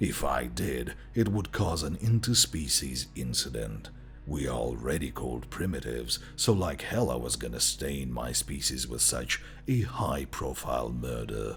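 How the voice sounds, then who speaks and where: A man's put-on character voice at a moderate pace, with clear background noise. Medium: read story. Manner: mocking, gloating, laughing coldly.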